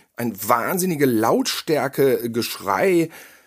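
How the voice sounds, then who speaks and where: On a very clean recording with a silent background, a man with a fairly high pitch speaks very slowly using lively intonation. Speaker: podcast co-host, horror film critic. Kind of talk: casual chat.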